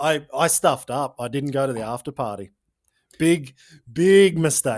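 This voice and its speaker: On a very clean recording with a silent background, a man with an Australian accent speaks at a moderate pace in a fairly high voice. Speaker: podcast host, former freestyle motocross rider. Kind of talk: podcast interview.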